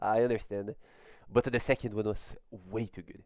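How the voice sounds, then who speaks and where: This man has a non-native accent and ordinary pitch variation. The sound is dry and close, with no echo. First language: not English. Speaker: gaming YouTuber. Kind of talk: video game trailer breakdown. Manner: halting, many fillers.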